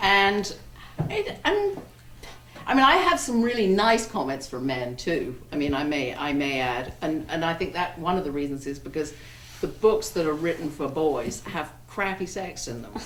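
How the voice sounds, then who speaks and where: Amid noticeable background noise and audible room echo, a woman with an English accent speaks at a moderate pace and a fairly low pitch with lively intonation. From England, Wiltshire. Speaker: romance novelist. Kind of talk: panel discussion. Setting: bookstore event with audience. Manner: halting.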